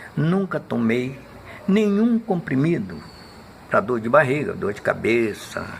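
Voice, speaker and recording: A man with a fairly high pitch speaks fairly slowly, his pitch swinging very widely, against noticeable background noise. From Minas Gerais, Brazil; Rio de Janeiro from age 12. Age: 80s+. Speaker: elderly interviewee recounting his life. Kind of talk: documentary interview.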